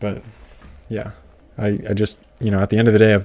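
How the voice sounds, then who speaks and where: A man speaks quietly in a monotone, flat delivery. His voice is fairly low in pitch, with a dark, mellow tone. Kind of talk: casual livestream chat reading comments. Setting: livestream. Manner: quiet, lower volume; hesitant with fillers and repetitions.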